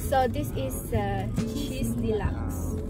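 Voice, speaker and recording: Loud music plays behind a woman who speaks at a very slow pace, her voice dry with no echo. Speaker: vlogger. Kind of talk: casual vlog chat. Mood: cheerful, relaxed. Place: car.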